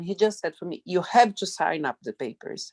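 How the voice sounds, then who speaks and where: A woman with a non-native accent speaks at a medium pitch in a dark, mellow tone, with ordinary pitch variation. The sound is dry and close with no echo. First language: not English. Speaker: sex worker, migrant. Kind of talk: testimony. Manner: halting.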